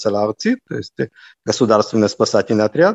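The sound is dry and close, without any echo. A man talks over a quiet background. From Israel (Haifa), born in Lviv, Ukraine. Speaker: army colonel. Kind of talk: interview. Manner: halting.

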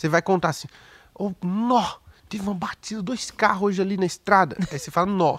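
Ordinary pitch variation at a fairly quick pace. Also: man, high pitch for a man. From Pernambuco, Recife (Brazilian Northeast). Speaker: stand-up comedian. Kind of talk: casual chat.

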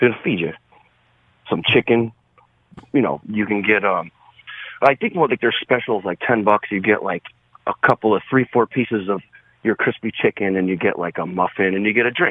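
Talking at a fairly quick pace with long, frequent pauses, a man uses a fairly low pitch. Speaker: caller. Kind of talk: call-in conversation. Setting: phone call.

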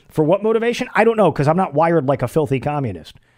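His pitch swings very widely. This male voice is fairly high. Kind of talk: heated political rant. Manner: sarcastic, mocking, worked-up; fast, emphatic, repeating himself.

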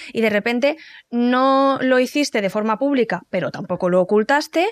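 A woman talks at a fairly quick pace with a high pitch. The recording is very clean with a silent background, and the sound is dry and close with no echo. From Valencia, Spain. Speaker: podcast host. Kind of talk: casual interview; scripted narration.

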